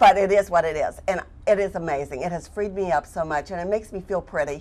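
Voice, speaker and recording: A woman talks very fast at a medium pitch. Her tone is animated. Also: ordinary pitch variation. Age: 60s. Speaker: cataract surgery patient. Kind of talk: TV interview.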